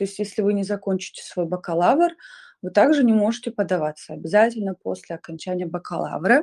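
A woman with a plain, everyday voice talks at a fairly quick pace in a medium pitch with ordinary pitch variation, recorded dry and close with no echo against a quiet background. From Kazakhstan, Shymkent. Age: 20s. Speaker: scholarship student, performing artist. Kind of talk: online live interview.

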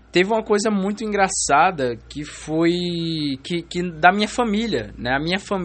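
This man's voice is high-pitched. He keeps a moderate pace. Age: 20s. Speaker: podcaster and law student. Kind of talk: casual solo monologue. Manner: casual slangy, some stammering.

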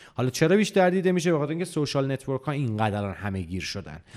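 A man of medium pitch makes very wide pitch swings on a very clean recording with a silent background. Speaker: games journalist. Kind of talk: casual interview.

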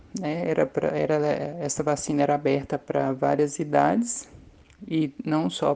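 Vocal fry runs through a dark, mellow tone whose pitch swings very widely. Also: woman. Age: 50s. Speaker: maintenance technician, vaccine trial volunteer. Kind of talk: testimony.

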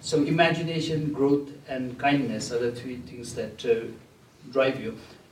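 At a moderate pace, a man speaks with a fairly high pitch for a man. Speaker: event host and moderator. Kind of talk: moderated interview and Q&A. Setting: live audience event.

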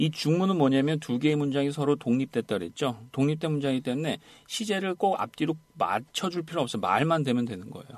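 A man talks at a fairly quick pace in a plain, everyday voice, his fairly high pitch rising and falling with lively intonation. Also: quiet background. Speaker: English conversation teacher. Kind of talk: lecture. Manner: repetitive drilling.

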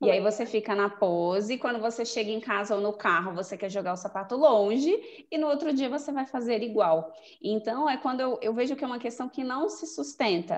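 A woman with a plain, everyday voice, fairly high-pitched and fairly quick, with lively intonation and hardly any pauses. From Brasília, Brazil. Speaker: image consultant. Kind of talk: casual chat.

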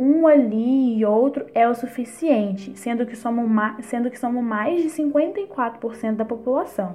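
A woman talks at a very slow pace in a high pitch with ordinary pitch variation. Her loudness swings widely, and there is noticeable background noise. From Brazil, Minas Gerais (near Barbacena). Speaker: theatre student and afro dancer. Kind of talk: interview.

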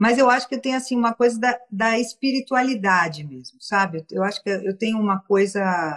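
Somewhat breathy, a woman speaks with lively intonation in a dry, close sound with no echo. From São Paulo, Brazil. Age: 60s. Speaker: entertainment businesswoman and philanthropist. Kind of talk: casual interview. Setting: video call, Instagram live.

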